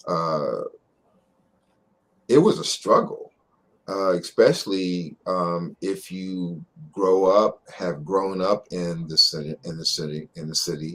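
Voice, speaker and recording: A man's very deep, low voice at a very slow pace, with long, frequent pauses, big swings in loudness and fairly even intonation. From Philadelphia. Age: 60s. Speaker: doctor. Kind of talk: interview conversation. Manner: halting.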